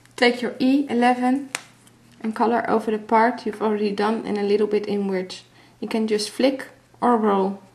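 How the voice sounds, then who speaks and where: Against noticeable background noise, a woman with a fairly high pitch speaks in monotone, flat intonation. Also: moderate pace. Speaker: craft tutorial maker. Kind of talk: tutorial.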